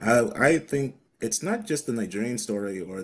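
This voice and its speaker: American-accented male speech with normal pitch movement. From US Midwest. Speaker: Nigerian-American community member; guest. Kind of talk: documentary interview. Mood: earnest, reflective. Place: home room.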